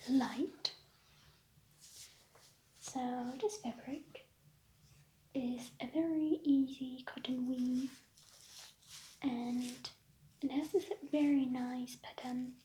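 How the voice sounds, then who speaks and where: A soft-spoken woman with a high pitch and a dark, mellow tone talks at a very slow pace with ordinary pitch variation and long, frequent pauses. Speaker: ASMR creator playing a tailor. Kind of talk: tailor roleplay addressing a customer.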